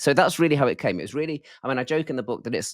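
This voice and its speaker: A voice with a British accent comes through with a dry, close sound, no echo, and a very clean recording over a silent background. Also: man. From UK. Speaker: professor. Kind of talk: interview.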